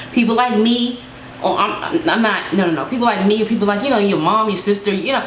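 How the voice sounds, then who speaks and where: An animated voice rushes along at a very fast pace with ordinary pitch variation, amid audible room echo and noticeable background noise. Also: woman. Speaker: YouTuber giving advice. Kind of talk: casual advice vlog.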